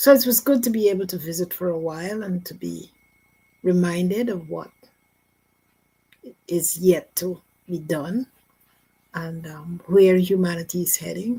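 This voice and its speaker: With a Guyanese accent, a woman speaks at a moderate pace in a fairly low, somewhat breathy voice with a dark, mellow tone, ordinary pitch variation, big swings in loudness and long, frequent pauses. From Guyana. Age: 80s+. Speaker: near-death experiencer. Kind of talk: testimony.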